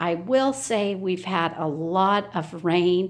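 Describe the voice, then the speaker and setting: The speaker is a woman. She talks at a medium pitch. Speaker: home decor video creator. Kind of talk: home tour walkthrough. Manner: slow; hesitant fillers.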